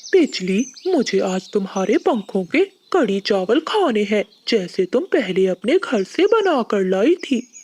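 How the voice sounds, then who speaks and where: A cartoonish character voice, female-sounding and fairly high in pitch, at a fairly slow pace with hardly any pauses. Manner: gentle, sincere.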